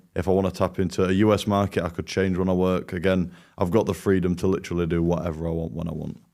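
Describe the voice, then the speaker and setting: A man with a British accent talks at a very fast pace in a very deep, low pitch with a dark, mellow tone. The recording is very clean with a silent background. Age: 20s. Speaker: agency owner, program student. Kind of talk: testimonial interview. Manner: enthusiastic.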